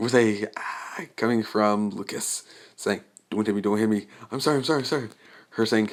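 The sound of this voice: The clip features an unforced reading voice.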